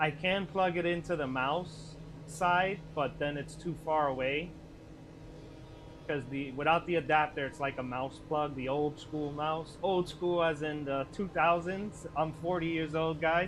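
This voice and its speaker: A plain, everyday voice talks fairly slowly, its intonation fairly even. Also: man, fairly high pitch for a man. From Puerto Rican, United States. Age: 30s. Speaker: gaming streamer. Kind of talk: live gameplay stream chat. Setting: live stream, camera off.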